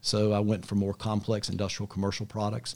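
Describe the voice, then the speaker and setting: A man with an American accent talks at a very fast pace in a fairly low, dark, mellow voice, in a very clean recording with a silent background. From US South, Charlotte, North Carolina. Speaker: business executive. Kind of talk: casual interview. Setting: home studio.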